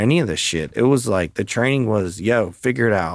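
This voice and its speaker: A man with an American accent speaks at a moderate pace in a plain, everyday voice of fairly low pitch. The recording is very clean with a silent background. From Maryland, US. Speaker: podcast host and real estate team leader. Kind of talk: casual chat.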